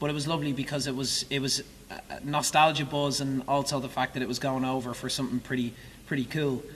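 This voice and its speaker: Fairly high-pitched for a man, this voice moves at a very fast pace in an Irish accent. His intonation stays monotone and flat, and there is noticeable background noise. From Ireland. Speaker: musical theatre actor. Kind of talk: interview. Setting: theatre stage. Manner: halting.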